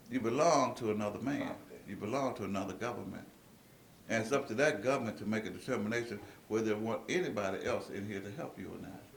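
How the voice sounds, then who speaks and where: A man at medium pitch talks at a very fast pace with big swings in loudness, while audible room echo and noticeable background noise fill the recording. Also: ordinary pitch variation. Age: 60s. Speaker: speaker at a meeting. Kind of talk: lecture to an audience. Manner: animated.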